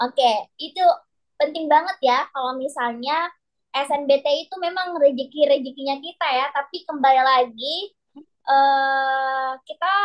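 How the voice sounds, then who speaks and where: A woman's high-pitched voice, fairly slow in pace, with fairly even intonation. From Sulawesi, Indonesia. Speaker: private math tutor. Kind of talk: online class teaching.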